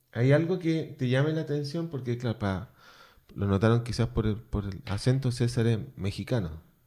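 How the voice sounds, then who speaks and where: Very clean recording with a silent background of a man with a dark, mellow tone and lively intonation. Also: medium pitch for a man, moderate pace. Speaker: radio host. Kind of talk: radio interview.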